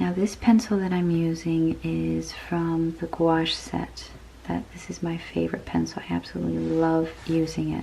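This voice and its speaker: Noticeable background noise behind a woman's moderate pace of speech. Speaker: digital artist. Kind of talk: relaxing art vlog narration to camera.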